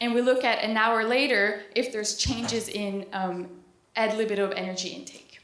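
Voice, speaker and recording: A woman with a fairly high pitch talks at a moderate pace with fairly even intonation, and audible room echo surrounds her voice. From East Coast Canada. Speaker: PhD student and dietitian. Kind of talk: conference presentation. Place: hall. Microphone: handheld.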